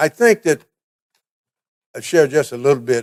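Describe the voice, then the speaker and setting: With a Texan accent and ordinary pitch variation, a man talks in a dry, close sound with no echo. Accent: Texan Southern US. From Texas, Navarro County. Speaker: military veteran, award recipient. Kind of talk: award acceptance speech. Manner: hesitant with fillers.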